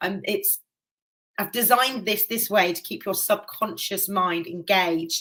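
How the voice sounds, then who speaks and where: This woman talks at a fairly slow pace with a medium pitch. Her tone is animated, bright and sharp. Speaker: hypnotherapist and life coach. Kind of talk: live webinar masterclass.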